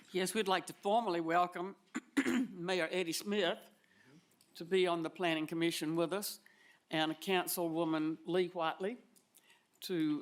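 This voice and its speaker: Speaking in an Alabama accent, a woman uses a fairly low pitch at a fairly slow pace. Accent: US South (Alabama). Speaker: commission chair. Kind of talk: public meeting chairing. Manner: halting.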